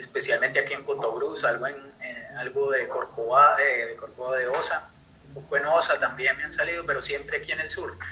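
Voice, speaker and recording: With noticeable background noise, a man talks at a fairly quick pace in a Colombian accent. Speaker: conservation project coordinator. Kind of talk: online talk. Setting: live stream video call. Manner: halting, many fillers.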